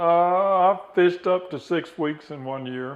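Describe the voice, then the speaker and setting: This man has an unremarkable speaking voice, delivered at a fairly slow pace with fairly even intonation. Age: 60s. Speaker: rod builder. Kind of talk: interview and tutorial.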